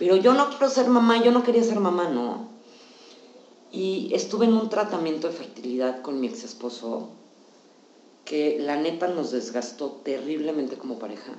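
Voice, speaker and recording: In a Mexican accent, the speaker's pitch swings very widely and loudness shifts a lot, with long, frequent pauses. Noticeable background noise and audible room echo fill the recording. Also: woman, fairly low pitch for a woman, moderate pace. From Mexico. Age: 40s. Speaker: psychologist. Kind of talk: casual chat.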